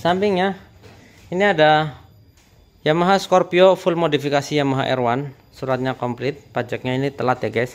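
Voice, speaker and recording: A man speaks with fairly high pitch. His pitch varies in an ordinary way. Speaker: used motorcycle dealer. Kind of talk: street seller pitch, rapid-fire bargain-price spiel with upbeat calls to come buy. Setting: outdoors at motorcycle lot, filming video. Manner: persuasive, repetitive sales patter. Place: shop. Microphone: phone near.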